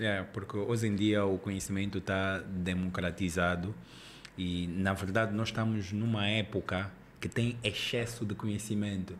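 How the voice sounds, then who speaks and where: Over light background noise, a man speaks at a moderate pace. His fairly low voice has a monotone, flat intonation. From Angola. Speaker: podcast host. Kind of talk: podcast interview. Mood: relaxed, friendly. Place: studio. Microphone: studio mic.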